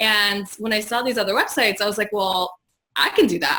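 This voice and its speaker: This woman talks at a medium pitch. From Poland, moved to US at 13. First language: Polish. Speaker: digital marketing strategist. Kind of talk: interview.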